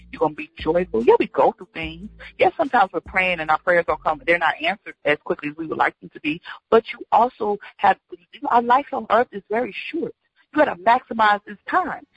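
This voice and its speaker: A woman speaks at a fairly quick pace and a medium pitch, with very wide pitch swings and big swings in loudness. Her voice is somewhat breathy, and the sound is dry and close with no echo. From Georgia, US South. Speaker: comedian and actress. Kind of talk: casual interview chat. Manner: animated.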